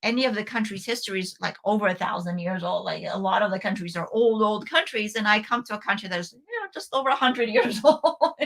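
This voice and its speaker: Speech comes at a fairly quick pace with hardly any pauses and ordinary pitch variation, against noticeable background noise. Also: woman. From Bulgaria. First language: Bulgarian. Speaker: homeschooling parent and co-host. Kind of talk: casual talk-show discussion. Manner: hesitant, many fillers and restarts.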